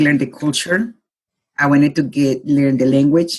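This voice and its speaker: A woman speaks. She has a Colombian accent. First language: Spanish. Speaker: life consultant. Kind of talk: interview. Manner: halting.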